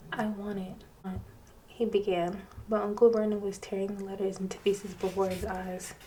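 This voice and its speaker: Over noticeable background noise, a woman speaks at a medium pitch. Her intonation is monotone and flat, and her pace is moderate. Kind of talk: audiobook-style reading of a novel, with character dialogue. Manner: soft-spoken, sometimes drifting into a whisper.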